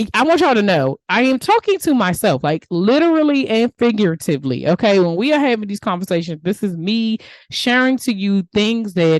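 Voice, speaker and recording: A woman with a DMV accent talks at a fairly quick pace, her pitch swinging very widely. The sound is dry and close, with no echo. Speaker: podcast host and life coach. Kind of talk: motivational podcast monologue. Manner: casual, animated.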